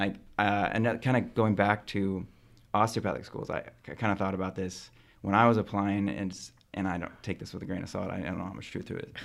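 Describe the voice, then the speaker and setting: With an American accent, a man uses an ordinary speaking voice at a fairly low pitch, talking at a fairly quick pace with fairly even intonation and big swings in loudness. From central California. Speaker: medical student. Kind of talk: casual chat.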